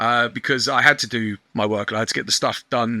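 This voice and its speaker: A loud man with a medium pitch, a bright, sharp tone and a very fast pace, in a dry, close sound with no echo and a very clean recording with a silent background. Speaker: online shop owner. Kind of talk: podcast interview.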